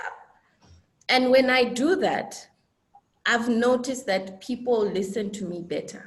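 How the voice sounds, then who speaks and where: At a fairly slow pace, a woman speaks with long, frequent pauses. Her pitch is fairly high, with ordinary pitch variation. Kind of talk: panel discussion on web series. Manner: soft-spoken normally.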